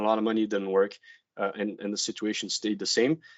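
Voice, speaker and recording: A man with a French accent talks at a very fast pace. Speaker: veterinarian. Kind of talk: webinar presentation. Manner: halting, many fillers.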